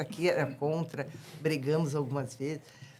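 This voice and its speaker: A woman's intonation stays fairly even. She talks at a moderate pace. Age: 70s. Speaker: pharmacist. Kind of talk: podcast interview.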